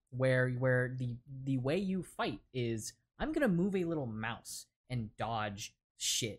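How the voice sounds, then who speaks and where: Over a silent background in a very clean recording, a man speaks very slowly at medium pitch, somewhat breathy and with lively intonation. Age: 20s. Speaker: podcaster. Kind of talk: casual chat.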